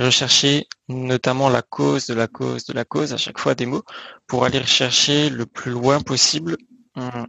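He has an ordinary speaking voice, medium in pitch, with fairly even intonation. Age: 20s. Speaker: naturopath. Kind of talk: interview. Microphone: bad connection at times.

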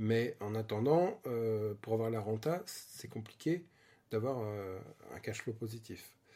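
Speaking at a very slow pace, a man with a medium-pitched voice uses ordinary pitch variation in a very clean recording with a silent background. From Île-de-France (Vallée de Chevreuse). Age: 40s. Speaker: interior designer and property investor. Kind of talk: interview. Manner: casual, hesitant with fillers.

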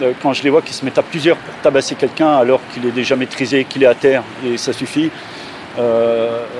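The voice is monotone and flat in intonation, with noticeable background noise behind it. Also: man. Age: 50s. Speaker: care worker and former soldier. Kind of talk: testimony.

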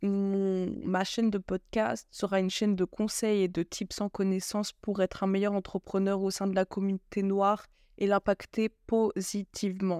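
In a very clean recording with a silent background and a dry, close sound with no echo, a woman at a medium pitch speaks fairly slowly in a monotone, flat way, with a dark, mellow tone and very even loudness. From France. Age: 20s. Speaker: podcast host and business consultant. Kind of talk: solo podcast monologue. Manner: halting, frequent fillers.

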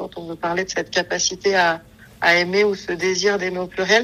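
A woman talks at a moderate pace in a flat monotone. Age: 30s. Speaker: psycho-corporal therapist. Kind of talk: casual interview.

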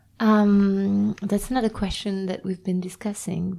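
This woman speaks with a French accent. Her pace is moderate. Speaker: podcast host. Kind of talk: interview. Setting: recorded at a host venue's premises. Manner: halting.

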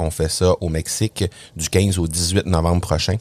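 In a Quebec accent, a man speaks at a very deep, low pitch. The sound is dry and close, with no echo. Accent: Québécois. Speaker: podcasting consultant and trainer. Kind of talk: interview. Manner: hesitant, many fillers.

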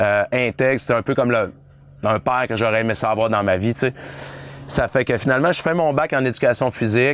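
Through noticeable background noise, a man speaks at a moderate pace and medium pitch with ordinary pitch variation. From Quebec, La Baie (Saguenay). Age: 40s. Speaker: weight-loss coach and influencer. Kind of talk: casual interview. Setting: on a boat, filmed.

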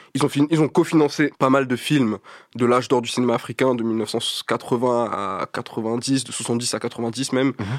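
A man at a fairly slow pace and medium pitch, fairly even in intonation, in a very clean recording with a silent background and a dry, close sound with no echo. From Paris, 19th arrondissement. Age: 20s. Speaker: artist and art collective founder. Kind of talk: casual interview.

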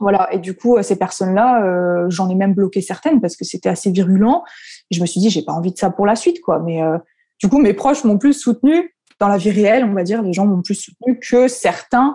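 A woman talks at a fairly quick pace with a dark, mellow tone and medium pitch. Her voice is somewhat breathy, with ordinary pitch variation. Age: 20s. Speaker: content creator, former primary school teacher. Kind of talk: casual interview chat.

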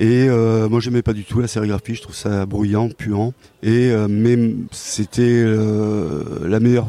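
Against noticeable background noise, the speech goes very slowly with fairly even intonation. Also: man. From rural Cantal, France. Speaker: comics author and illustrator. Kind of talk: interview. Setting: comics festival. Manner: hesitant, many repetitions.

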